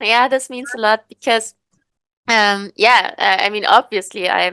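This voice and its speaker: A woman with a German accent talks at a fairly slow pace, recorded with a dry, close sound and no echo. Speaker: podcast host. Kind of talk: casual chat. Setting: video call. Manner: halting.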